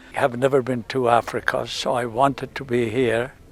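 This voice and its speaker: A moderate pace and monotone, flat intonation over noticeable background noise. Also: man. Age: 80s+. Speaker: safari guest. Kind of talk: testimonial.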